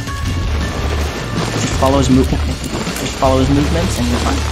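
Loud background noise fills the clip, with speech at a moderate pace. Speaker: gaming video creator. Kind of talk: casual gameplay commentary.

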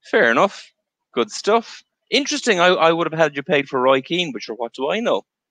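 A man with an Irish accent talks at a fairly quick clip in a high pitch, his voice bright and sharp with very wide pitch swings, the sound dry with no echo over a quiet background. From Ireland. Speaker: show host, interviewer. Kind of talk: casual interview. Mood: friendly, light banter.

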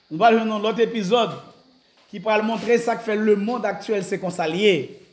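In a room with audible echo, a man speaks at a high pitch and a moderate pace. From Haiti. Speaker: pastor; pastor giving a Bible lecture. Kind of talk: sermon. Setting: church. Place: church. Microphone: camera far.

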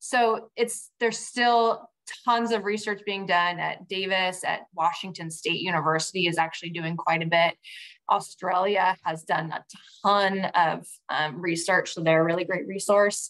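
Against a quiet background, a woman talks at a fairly slow pace. Her medium pitch shows ordinary pitch variation. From Northern California (Vacaville); Northern California. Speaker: head winemaker; guest. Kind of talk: casual interview on a wine-tasting webinar. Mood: friendly, relaxed. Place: kitchen. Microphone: video call.

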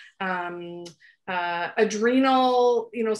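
Against a quiet background, a woman with a Canadian accent talks at a medium pitch. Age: 40s. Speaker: naturopathic doctor. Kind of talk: interview. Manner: animated. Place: home room. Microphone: video call.

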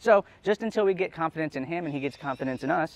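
A man's lively, expressive intonation in a dry recording with no echo. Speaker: zoo bird trainer. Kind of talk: interview answer. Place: stage.

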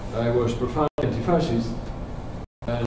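A man is speaking. Loud background noise and audible room echo fill the recording. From Spain. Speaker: professor. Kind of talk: lecture. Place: meeting room. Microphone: camera far.

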